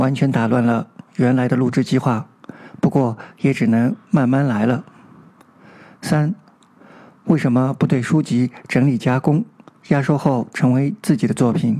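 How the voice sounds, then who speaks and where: A man speaks in a dark, mellow tone, with ordinary pitch variation and very even loudness. He leaves long, frequent pauses. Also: medium pitch for a man, fairly slow pace. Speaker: amateur audiobook narrator and channel host. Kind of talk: scripted monologue to listeners.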